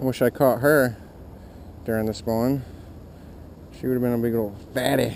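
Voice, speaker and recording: A man talks at a moderate pace in a medium pitch, pausing long and often. His intonation stays monotone and flat. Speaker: fishing video creator. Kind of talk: outdoor fishing vlog commentary. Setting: outdoors at ponds. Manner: quiet, hushed at times.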